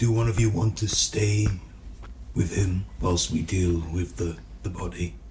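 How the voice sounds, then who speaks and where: A man puts on a character voice with a very deep, low pitch. He talks at a moderate pace over clear background noise. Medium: actual play. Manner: quiet, earnest.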